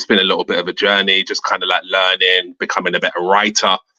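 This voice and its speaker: Speaking at a very fast pace, a man with a British accent has a very deep, low pitch. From London, England, Jamaican heritage. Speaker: comic book creator and educator. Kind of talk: interview. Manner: halting, many fillers.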